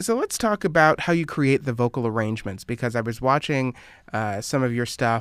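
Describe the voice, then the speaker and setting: A man with a plain, everyday voice speaks at a moderate pace, his medium pitch carrying lively intonation. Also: very clean recording, silent background. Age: 20s. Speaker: radio interviewer. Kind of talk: recorded interview.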